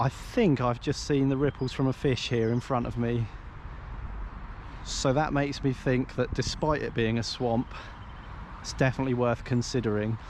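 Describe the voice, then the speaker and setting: With long, frequent pauses, a man in an English accent keeps his intonation fairly even. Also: medium pitch for a man, moderate pace. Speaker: carp angler and fishing vlogger. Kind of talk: casual outdoor vlog walkthrough. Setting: outdoors by a lake. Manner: hesitant, many fillers.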